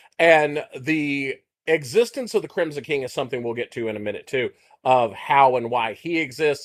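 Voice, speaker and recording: A man with a Texas accent and a fairly high pitch, ordinary pitch variation and a moderate pace, in a very clean recording with a silent background. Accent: Texas accent, self-described as mushmouth. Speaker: podcast co-host. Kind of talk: casual chat.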